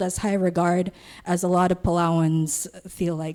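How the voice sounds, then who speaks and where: Her tone comes across dark and mellow. The woman talks at a fairly slow pace. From Palau. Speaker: student intern. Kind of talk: presentation. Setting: assembly hall with audience. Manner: halting.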